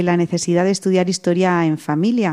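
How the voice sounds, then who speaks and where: A woman speaks at medium pitch with a dark, mellow tone. The recording is very clean, with a silent background. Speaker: radio host. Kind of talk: radio magazine presenting.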